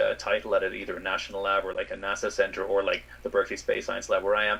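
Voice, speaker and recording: Through noticeable background noise, a man talks in an Irish accent. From Ireland. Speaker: space scientist. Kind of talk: interview.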